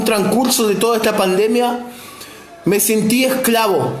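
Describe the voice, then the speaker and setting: The man's pitch is extremely high, his intonation fairly even and his pace fairly slow. Noticeable background noise and audible room echo come through. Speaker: lay preacher. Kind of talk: sermon with personal testimony.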